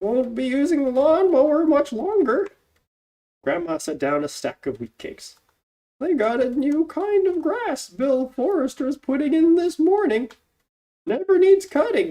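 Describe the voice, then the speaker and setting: High-pitched female character voice, clearly put on, moderately paced and swinging very widely in pitch. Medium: read story. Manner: brisk, plainspoken.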